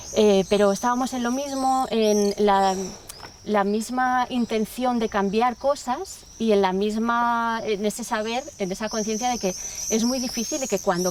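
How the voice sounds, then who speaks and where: A woman's fairly high voice at a fairly slow pace with ordinary pitch variation, over noticeable background noise. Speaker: museum educator. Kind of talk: conference talk. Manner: halting.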